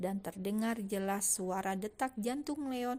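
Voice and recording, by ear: Someone is reading aloud in a natural voice with ordinary pitch variation.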